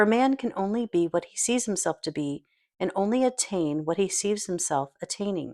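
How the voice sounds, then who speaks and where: A woman speaks in a plain, everyday voice at a moderate pace, with lively intonation. The recording is very clean with a silent background, and the sound is dry and close with no echo. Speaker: audiobook narrator. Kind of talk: audiobook reading of a self-help book.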